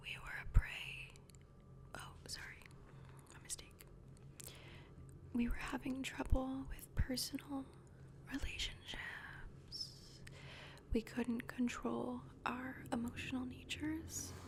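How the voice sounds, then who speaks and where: A woman whispers very slowly in a gentle tone, with long, frequent pauses. Her loudness swings widely over noticeable background noise. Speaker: ASMR creator. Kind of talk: ASMR roleplay, casual one-on-one talk. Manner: soft-spoken, gentle, friendly.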